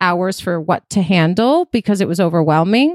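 A woman with an American accent and a normal speaking voice talks at a moderate pace and a medium pitch. The recording is very clean, with a silent background and a dry, close sound with no echo. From Chicago, US Midwest. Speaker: private chef and caterer. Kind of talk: casual chat.

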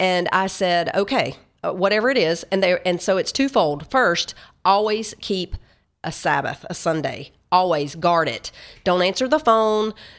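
Someone with a Tennessee accent speaks at a fairly slow pace in a very clean recording with a silent background. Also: woman, medium pitch for a woman, lively intonation. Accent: Southern US (Tennessee). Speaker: Bible study author and speaker. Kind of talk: interview. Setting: studio.

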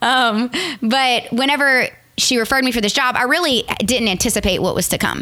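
In a Southern Louisiana accent, a woman talks at a fairly quick pace with a high pitch and a bright, sharp tone. Her pitch variation is ordinary, and her loudness stays very even. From Louisiana, Morgan City. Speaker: wedding photographer. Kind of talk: casual interview chat.

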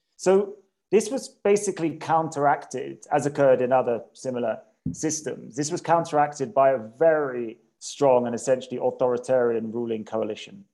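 A man with a southern English accent, his fairly high voice dark and mellow, with lively intonation at a moderate pace. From England, Cambridge. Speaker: policy analyst. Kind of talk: interview. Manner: halting, with repetitions.

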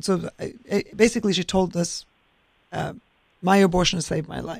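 An animated, passionate tone with vocal fry. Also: woman. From Norway. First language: Norwegian. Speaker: state senator. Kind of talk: casual political chat.

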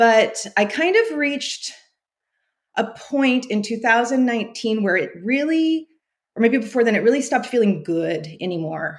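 A woman with a West Coast US accent talks at a fairly high pitch. She speaks at a fairly slow pace with lively intonation. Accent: General American, West Coast. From US West Coast, California Central Valley. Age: 40s. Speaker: former teacher turning bookkeeper. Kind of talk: coaching interview.

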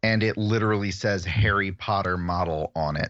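A man speaks with an American accent. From US Midwest, Chicago area. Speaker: podcast guest, book discussion. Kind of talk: casual chat. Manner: halting, frequent repetitions.

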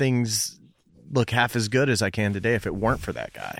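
With fairly even intonation and an unremarkable speaking voice, a man talks fairly quickly at a medium pitch. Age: 30s. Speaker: podcast host. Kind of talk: casual interview chat.

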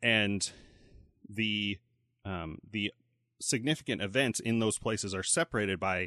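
Bright and sharp in tone, a man with an American accent speaks at a fairly low pitch in a dry, close sound with no echo and a quiet background. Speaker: podcast host. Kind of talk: casual chat.

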